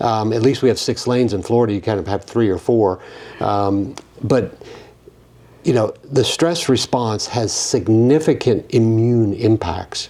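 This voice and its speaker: A man with a medium pitch and ordinary pitch variation talks at a fairly slow pace over noticeable background noise. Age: 50s. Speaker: physician podcast host. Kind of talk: interview conversation.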